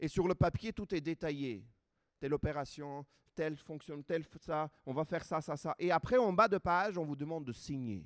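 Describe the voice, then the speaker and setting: Fairly high-pitched, a man talks at a moderate pace in an Armenian accent with ordinary pitch variation. The recording is very clean, dry and close, with a silent background and no echo. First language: Armenian (speaking French). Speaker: preacher. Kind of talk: sermon.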